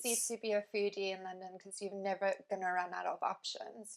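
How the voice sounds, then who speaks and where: A woman with a South African accent talks very fast at a medium pitch, her intonation fairly even. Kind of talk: interview answer.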